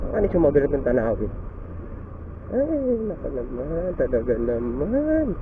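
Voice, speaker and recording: Room echo is audible, and there is noticeable background noise. A man speaks at a fairly slow pace. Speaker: motovlogger. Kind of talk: casual vlog. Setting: riding a motorcycle.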